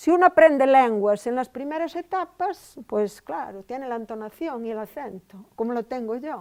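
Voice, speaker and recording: On a very clean recording with a silent background, a woman speaks at a moderate pace in a high voice. Her intonation is lively, and her loudness swings a lot. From Spain, Galicia (Val de Monterrey, Ourense). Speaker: linguistics professor. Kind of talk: lecture. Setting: lecture hall with audience. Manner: conversational, with frequent fillers.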